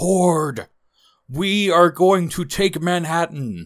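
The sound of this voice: Against a very clean recording and silent background, a man puts on a gruff character voice. He speaks at a high pitch and a very slow pace.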